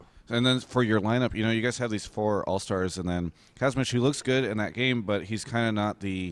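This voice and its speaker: An unremarkable speaking voice, this man talks with an American accent at a fairly quick pace, fairly low in pitch with ordinary pitch variation. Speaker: esports interviewer. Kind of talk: interview.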